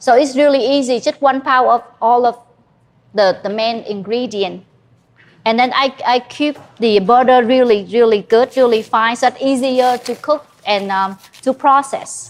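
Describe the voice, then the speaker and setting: A woman with a high pitch speaks at a fairly slow pace with ordinary pitch variation. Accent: strong Vietnamese. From Vietnam. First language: Vietnamese. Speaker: chef. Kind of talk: cooking demonstration. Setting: cooking class with live audience. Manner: halting, many fillers.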